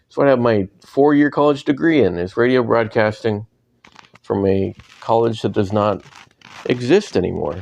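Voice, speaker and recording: A man at medium pitch talks at a moderate pace with lively intonation. He pauses long and often. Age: 40s. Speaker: podcast host. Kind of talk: personal monologue. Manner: casual, hesitant with fillers.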